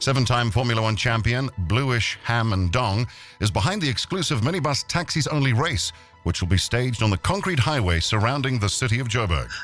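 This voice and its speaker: Faint music plays in the background as a man speaks with very even loudness. The sound is dry, with no echo. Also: fairly quick pace. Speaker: radio host. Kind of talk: parody radio news read. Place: studio.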